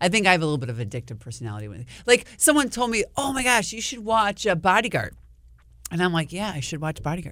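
Very fast speech from a woman with an American accent, medium-pitched with very wide pitch swings and vocal fry, on a very clean recording with a silent background. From Wisconsin, US. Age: 50s. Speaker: TV meteorologist. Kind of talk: casual chat.

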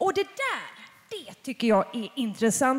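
A woman speaks at a high pitch and a fairly slow pace, her pitch swinging very widely. Noticeable background noise is present. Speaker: podcast host moderating a panel. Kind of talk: live panel discussion. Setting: stage with audience.

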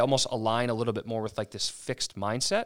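In a very clean recording with a silent background, a man with an American accent uses a normal speaking voice at a medium pitch. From Maryland, US. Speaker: physical therapist and clinic owner. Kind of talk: podcast interview.

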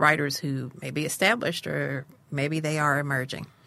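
On a very clean recording with a silent background, a woman with a very deep, low pitch, a bright, sharp tone and vocal fry speaks at a fairly slow pace. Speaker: poet and podcast host. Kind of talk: interview.

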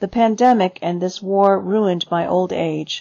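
Music plays in the background as a woman speaks at medium pitch and a fairly slow pace. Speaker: radio reading-service reader. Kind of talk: reading aloud.

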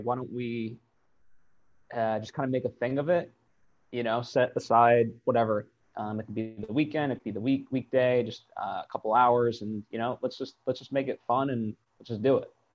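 Speaking at a fairly quick pace, a man with an ordinary speaking voice holds a medium pitch and fairly even intonation. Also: big swings in loudness.

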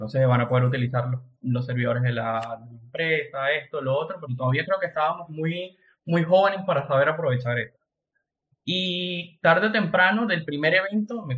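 Speaking at a moderate pace, a man has an unremarkable speaking voice with ordinary pitch variation. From Venezuela. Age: 20s. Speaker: entrepreneur. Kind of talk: casual chat.

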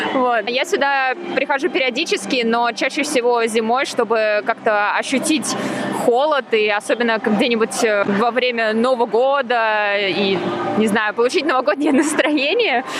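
Noticeable background noise sits under a woman speaking at a fairly slow pace. Her voice is high, with ordinary pitch variation and very even loudness. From Russia, Moscow. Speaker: radio host. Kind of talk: casual chat. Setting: indoor ice rink, on location.

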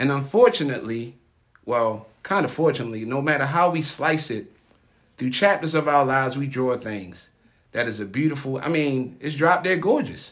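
Lively intonation marks this man's ordinary speaking voice, which has an American accent and a fairly high pitch. He keeps a moderate pace. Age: 30s. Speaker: podcast host. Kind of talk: casual chat. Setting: studio.

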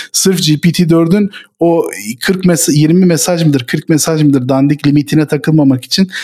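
This man speaks with a high pitch. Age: 30s. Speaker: tech company founder. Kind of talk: casual chat.

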